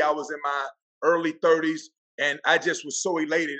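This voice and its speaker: Speaking with a Southern US accent, a man uses fairly even intonation and a bright, sharp tone. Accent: country, Southern. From Florida Panhandle, US South. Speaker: football coach and keynote speaker. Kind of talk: casual interview. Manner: loud.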